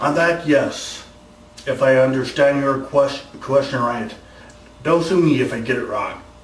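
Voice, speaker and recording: Over noticeable background noise and audible room echo, a man speaks at a fairly high pitch with fairly even intonation. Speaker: YouTuber answering viewer questions. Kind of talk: casual Q&A vlog. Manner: halting, many repetitions and false starts.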